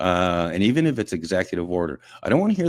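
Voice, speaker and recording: The recording is very clean, with a silent background and a dry, close sound with no echo. A man with a very deep, low pitch and vocal fry speaks at a fairly quick pace with lively intonation. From Quebec, Montreal area. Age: 60s. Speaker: media personality and veterans advocate. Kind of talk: casual radio chat. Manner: animated.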